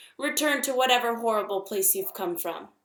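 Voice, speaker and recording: Using a put-on character voice, a woman sounds squeaky at a fairly high pitch. She talks at a fairly quick pace with ordinary pitch variation. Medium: read story.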